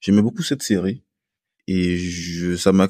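A man's voice comes through a very clean recording with a silent background and a dry, close sound with no echo. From Guadeloupe. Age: 30s. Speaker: orthopedic surgeon. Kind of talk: interview.

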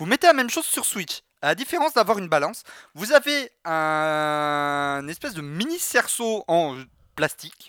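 His pitch is high and swings very widely, and this man's bright, sharp tone comes with big jumps in loudness, all in a dry, close sound without echo. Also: moderate pace. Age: 20s. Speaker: streamer and podcast co-host. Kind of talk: casual chat. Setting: video call.

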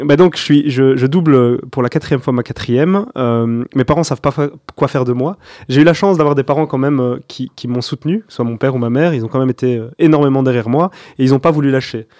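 A man speaks at a fairly quick pace with a medium pitch, a dark, mellow tone and ordinary pitch variation. The sound is dry and close with no echo, over a quiet background. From Belgium, Borinage (Mons), Wallonia. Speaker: restaurant group founder and CEO. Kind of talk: interview.

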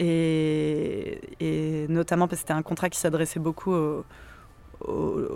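A woman speaks at a fairly slow pace. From southern France, Montpellier. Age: 30s. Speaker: activist. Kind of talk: casual interview. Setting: outdoors in a cemetery.

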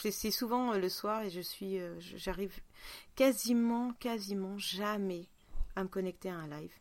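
With ordinary pitch variation, this woman's voice sits at a medium pitch. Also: fairly slow pace. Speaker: podcast host. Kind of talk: casual chat. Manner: hesitant, many fillers.

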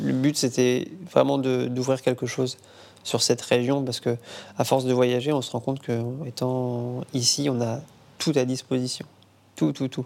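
Amid noticeable background noise, a man speaks fairly slowly at a medium pitch, with monotone, flat intonation and long, frequent pauses. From western France, Nantes area. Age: 30s. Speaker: chef and restaurant owner. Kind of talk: cooking demonstration; interview.

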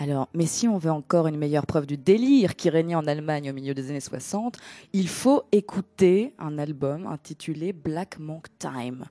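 A woman with a dark, mellow tone and lively intonation speaks at a moderate pace in a dry, close sound with no echo. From Greece. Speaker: DJ. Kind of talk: casual chat. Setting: studio.

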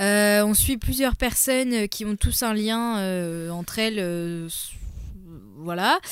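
Very slow speech from a woman at medium pitch, with ordinary pitch variation and long, frequent pauses. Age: 20s. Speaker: podcast guest. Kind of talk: casual chat. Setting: studio.

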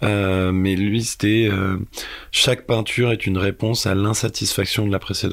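Flat, monotone intonation marks this man's fairly low voice as he talks at a moderate pace. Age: 20s. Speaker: filmmaker. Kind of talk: interview. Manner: halting.

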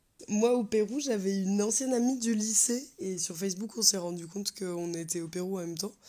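Over noticeable background noise, the speech moves at a fairly quick pace with ordinary pitch variation. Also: woman, medium pitch for a woman, hardly any pauses. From France. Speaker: interviewee in binational couple. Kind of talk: casual testimony.

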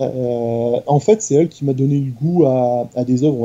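A man with a dark, mellow tone talks at a moderate pace with fairly even intonation. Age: 40s. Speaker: YouTuber. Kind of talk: casual chat.

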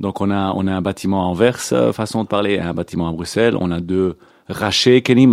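In a dry, close sound with no echo, a man with a fairly low pitch speaks at a moderate pace with ordinary pitch variation. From Belgium (Antwerp), born in Israel. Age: 40s. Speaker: youth movement committee member. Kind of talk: radio interview. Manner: hesitant, many fillers.

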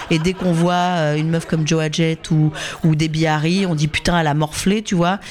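Against noticeable background noise, a woman talks at a moderate pace in a fairly low pitch with fairly even intonation. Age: 50s. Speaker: musician and communications manager. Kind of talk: interview.

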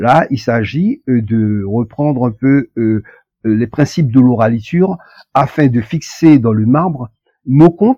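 A dark, mellow tone moves at a very slow pace with lively intonation. The sound is dry and close, with no echo. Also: man. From French Guiana. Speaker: author and poet. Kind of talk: interview. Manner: hesitant, with frequent fillers.

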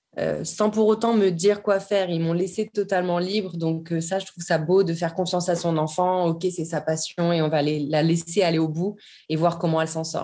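With a dark, mellow tone and a fairly low pitch, a woman speaks at a moderate pace, with fairly even intonation and hardly any pauses. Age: 30s. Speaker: yoga teacher and dancer. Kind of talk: interview.

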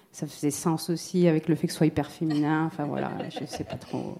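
At a moderate pace, a woman speaks in a dark, mellow tone, fairly low in pitch with fairly even intonation. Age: 40s. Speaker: musician and sound creator. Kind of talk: round table discussion.

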